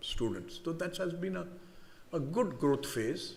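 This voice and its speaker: A man in an Indian accent with ordinary pitch variation and audible room echo. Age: 70s. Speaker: business leader, convocation speaker. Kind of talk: convocation address. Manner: halting, repetitive restarts.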